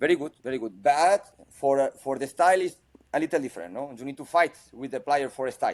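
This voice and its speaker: Talking very fast in a Spanish accent, a man with a fairly high voice and ordinary pitch variation sounds dry and close, with no echo. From Spain. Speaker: football coach. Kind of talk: interview. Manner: halting.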